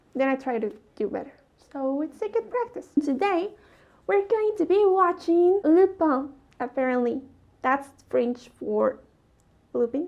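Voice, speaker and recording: A woman with a non-native accent and a high pitch speaks at a fairly slow pace, with long, frequent pauses and very wide pitch swings. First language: not English. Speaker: YouTuber reviewing a TV series. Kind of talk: casual video review monologue.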